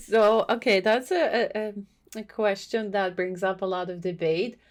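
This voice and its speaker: A woman speaks with a Croatian accent and fairly even intonation. The recording is very clean, with a silent background. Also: medium pitch for a woman, moderate pace. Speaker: podcast guest. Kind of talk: casual chat.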